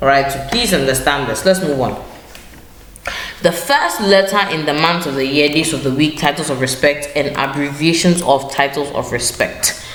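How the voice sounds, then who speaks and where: A woman's very deep, low-pitched voice with ordinary pitch variation, amid noticeable background noise and audible room echo. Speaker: teacher. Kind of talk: lesson. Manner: fast.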